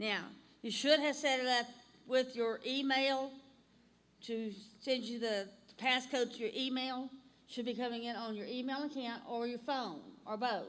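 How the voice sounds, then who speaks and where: A woman with an Alabama accent speaks at a moderate pace and a high pitch, with fairly even intonation and long, frequent pauses. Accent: Southern US (Alabama). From US South, North Alabama. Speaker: instructor. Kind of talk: tutorial.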